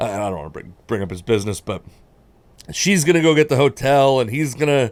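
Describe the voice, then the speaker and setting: Speaking very fast with an American accent, a man at medium pitch swings his pitch very widely and his loudness by big amounts. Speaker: stand-up comedian. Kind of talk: casual chat.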